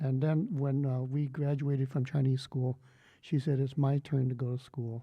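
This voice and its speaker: A somewhat breathy man with a Californian accent, medium pitch, monotone, flat intonation, very even loudness, and a moderate pace. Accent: California American English. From San Francisco Bay Area, US. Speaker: poet. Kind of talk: panel talk. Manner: halting.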